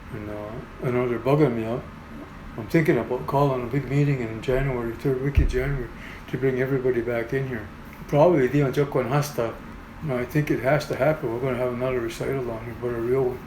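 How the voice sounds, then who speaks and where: Noticeable background noise and audible room echo surround a man speaking at a very fast pace. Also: medium pitch for a man, fairly even intonation. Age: 60s. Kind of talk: interview storytelling. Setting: in-person interview. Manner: halting, with repetitions.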